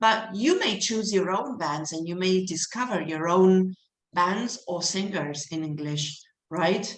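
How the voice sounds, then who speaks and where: The pace is fairly slow, with ordinary pitch variation. Room echo is audible throughout. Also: woman, medium pitch for a woman. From Argentina. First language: Spanish. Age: 50s. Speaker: English teacher. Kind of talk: online lecture to students. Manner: animated.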